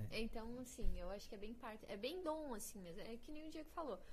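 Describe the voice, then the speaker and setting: Her high-pitched voice moves with lively intonation as this woman speaks. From Paraná, Brazil (grew up near Curitiba). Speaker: actress. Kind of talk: casual chat. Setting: live-streamed podcast studio.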